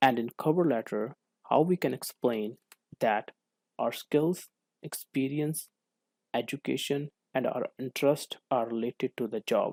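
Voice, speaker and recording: A man with a non-native accent speaks at a medium pitch with ordinary pitch variation, leaving long, frequent pauses, in a very clean, dry, close recording with a silent background and no echo. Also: fairly slow pace. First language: not English. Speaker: co-op student. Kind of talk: class presentation. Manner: formal.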